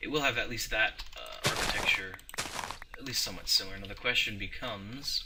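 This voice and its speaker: Background noise is noticeable here. The speaker is a man. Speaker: gaming video creator. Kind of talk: let's play commentary. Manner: halting, stumbling over words.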